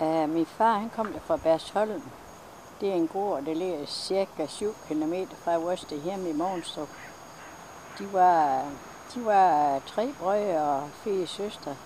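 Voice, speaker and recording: A woman's fairly low voice at a very slow pace, with ordinary pitch variation, long, frequent pauses and noticeable background noise. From West Jutland, Denmark. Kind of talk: interview answer.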